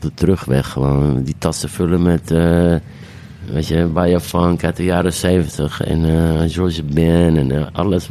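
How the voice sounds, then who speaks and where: Over noticeable background noise, a man with a very deep, low pitch speaks at a very slow pace with fairly even intonation. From Amsterdam, De Pijp. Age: 40s. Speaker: DJ and singer. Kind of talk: casual chat.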